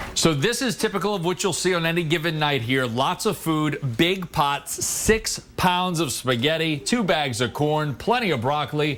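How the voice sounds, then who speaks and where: Music plays behind a man with a fairly high voice who talks at a moderate pace. His intonation is lively, and he hardly pauses. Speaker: TV news anchor. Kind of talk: TV news report narration.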